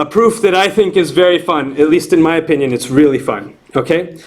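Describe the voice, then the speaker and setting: The voice is loud. It moves at a fairly quick pace. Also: man. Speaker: university lecturer. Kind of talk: lecture. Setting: classroom with students.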